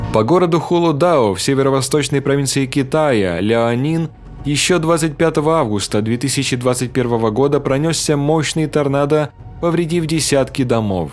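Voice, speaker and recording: Over noticeable background noise, a man with a fairly high pitch speaks at a moderate pace with ordinary pitch variation and very even loudness. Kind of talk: news narration.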